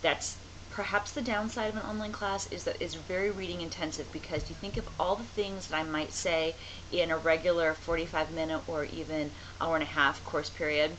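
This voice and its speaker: A woman's fairly low, fairly quick speech with ordinary pitch variation, audible room echo and noticeable background noise. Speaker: college writing instructor. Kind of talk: online course video lecture. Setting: home office, on camera. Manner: fast; casual, conversational.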